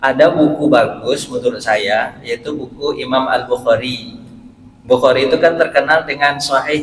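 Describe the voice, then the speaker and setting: There is noticeable background noise. A man with a fairly high pitch speaks at a moderate pace. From West Sumatra (Pariaman, Minang). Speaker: Islamic preacher and university lecturer. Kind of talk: short religious sermon.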